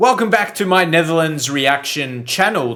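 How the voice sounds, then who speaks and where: Here a man speaks with an Australian accent at a moderate pace. His fairly high voice has lively intonation, recorded very cleanly against a silent background. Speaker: reaction video creator. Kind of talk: casual reaction commentary. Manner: hesitant, many fillers.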